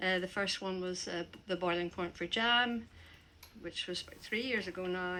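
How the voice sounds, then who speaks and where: A woman speaks in a Northern Irish accent at a fairly low pitch. Her tone is bright and sharp. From Northern Ireland. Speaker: poet. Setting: stage with audience. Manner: halting.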